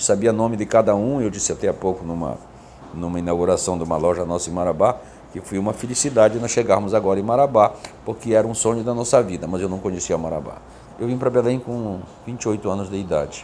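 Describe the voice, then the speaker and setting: A man races along at a very fast pace. Noticeable background noise runs underneath his fairly low pitch, which has ordinary variation. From Pará riverside, Igarapé-Miri, Brazil. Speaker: businessman. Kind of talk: interview conversation.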